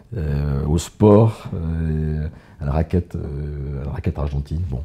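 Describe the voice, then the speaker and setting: A man talks at a very slow pace in a very deep, low voice. His intonation is fairly even, and there is noticeable background noise. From France, Limoges. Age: 60s. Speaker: business executive. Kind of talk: interview.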